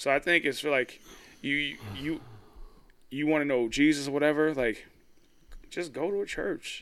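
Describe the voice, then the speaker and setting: On a very clean recording with a silent background, a man with a fairly high voice and ordinary pitch variation speaks at a moderate pace, taking long, frequent pauses. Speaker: podcast co-host. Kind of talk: casual chat.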